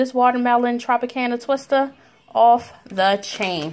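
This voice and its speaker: A woman speaks fairly slowly, with noticeable noise in the background. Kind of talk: casual vlog chat. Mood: cheerful, enthusiastic. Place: kitchen. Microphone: phone near.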